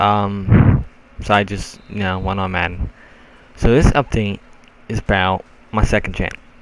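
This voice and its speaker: Against noticeable background noise, a man with a fairly low voice speaks at a moderate pace, leaving long, frequent pauses. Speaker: gaming YouTuber. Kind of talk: casual channel update vlog. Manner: rambling, informal.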